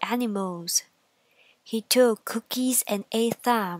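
A woman speaks at a fairly slow pace with a gentle, soothing tone and ordinary pitch variation. The sound is dry and close, with no echo. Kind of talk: bedtime story, scripted narration read aloud. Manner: slow, gentle, soothing storytelling pace.

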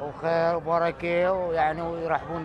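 Over crowd noise in the background, a man speaks with an Iraqi accent in a dry sound with no echo. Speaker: TV field reporter. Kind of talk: live field report. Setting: outdoors. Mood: earnest, devout. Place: street. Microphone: handheld.

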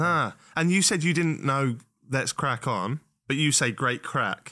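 Over a quiet background, a man with an English accent speaks in a fairly high pitch at very even loudness. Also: ordinary pitch variation, fairly slow pace. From England. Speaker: podcast host. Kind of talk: casual podcast conversation. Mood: jokey, relaxed. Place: studio. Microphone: studio mic.

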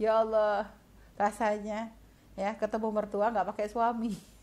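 Very clean recording, with a silent background. A woman talks at a moderate pace with a fairly high pitch and monotone, flat intonation. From Indonesia, Pontianak (West Kalimantan). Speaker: Islamic preacher. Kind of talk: religious lecture. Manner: conversational, with fillers.

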